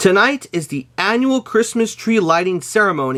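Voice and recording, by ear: The clip is read aloud in a natural voice. Its intonation is lively.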